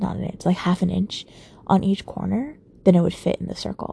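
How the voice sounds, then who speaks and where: A woman is mumbling. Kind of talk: late-night personal monologue. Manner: frequent sighs.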